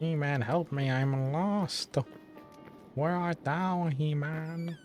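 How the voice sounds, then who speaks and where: With clear music playing behind him, a man uses a put-on character voice at a fairly high pitch and a very slow pace. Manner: dramatic, pleading, theatrical.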